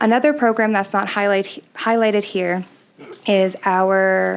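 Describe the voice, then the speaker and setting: Soft-spoken, a woman with a Canadian accent talks at a medium pitch with fairly even intonation. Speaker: arts society executive director. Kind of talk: presentation to city council. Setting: city council meeting.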